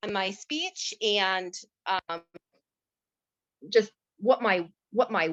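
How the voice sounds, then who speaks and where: Speaking very slowly with long, frequent pauses, a woman at medium pitch shows ordinary pitch variation and big swings in loudness, recorded with a dry, close sound and no echo. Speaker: guest sharing stuttering experience. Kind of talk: testimony. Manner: halting.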